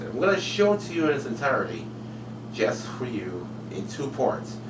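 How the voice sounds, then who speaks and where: Background noise can be clearly heard. A man speaks at a moderate pace. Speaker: web show host. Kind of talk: show host intro. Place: home room. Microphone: webcam.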